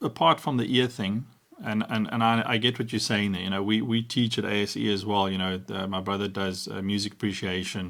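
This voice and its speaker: A man speaks in a plain, everyday voice with a fairly low pitch. His pace is moderate, and his pitch varies in an ordinary way. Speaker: sound engineer and talk show host. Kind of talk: casual chat.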